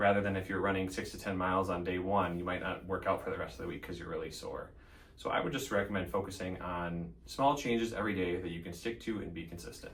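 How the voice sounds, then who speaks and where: Very fast speech from a man with a very deep, low pitch and an Upper Midwest accent, ordinary pitch variation and audible room echo. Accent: Upper Midwest American. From Central Minnesota, Elk River. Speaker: physician assistant. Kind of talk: interview monologue; tutorial. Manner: frequent fillers (um).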